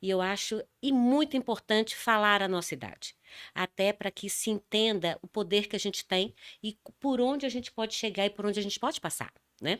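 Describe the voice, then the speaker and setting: A woman's ordinary speaking voice, fairly high in pitch with ordinary pitch variation, at a fairly quick pace, on a very clean recording with a silent background and a dry, close sound with no echo. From Brazil, São Paulo. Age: 60s. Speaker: dance therapist and speaker. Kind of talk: interview. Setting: studio.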